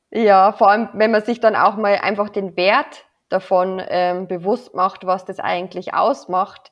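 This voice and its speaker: Her intonation stays fairly even at a fairly slow pace. The woman's pitch is medium. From Lower Bavaria, Germany. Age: 30s. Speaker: wedding officiant. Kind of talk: casual chat.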